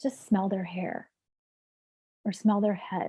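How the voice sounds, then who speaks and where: Fairly high in pitch and somewhat breathy, a woman speaks at a fairly slow pace in a dark, mellow tone with ordinary pitch variation. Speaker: marriage and family therapist. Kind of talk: casual chat.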